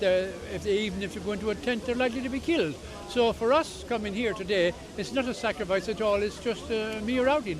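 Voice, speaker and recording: Over noticeable background noise, a man with an Irish accent and a high pitch speaks at a fairly quick pace with ordinary pitch variation. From Ireland. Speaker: protester, demonstration organiser. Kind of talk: street interview. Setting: outdoors at a protest. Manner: halting.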